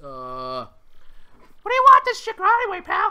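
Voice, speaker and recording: An extremely high, put-on character voice delivers its lines at a fairly slow pace. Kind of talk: casual, slangy. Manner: gruff, street-wise.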